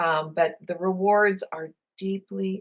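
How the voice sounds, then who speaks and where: A woman's fairly low-pitched voice, very slow in pace, with fairly even intonation. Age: 60s. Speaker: counselor and professor. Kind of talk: interview. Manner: hesitant with fillers.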